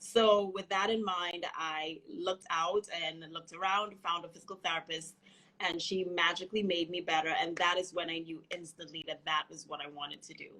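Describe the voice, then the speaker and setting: A woman with a slight Trinidadian accent speaks at a moderate pace and fairly low pitch, with a bright, sharp tone, fairly even intonation and hardly any pauses. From Trinidad and Tobago. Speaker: physical therapist. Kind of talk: interview.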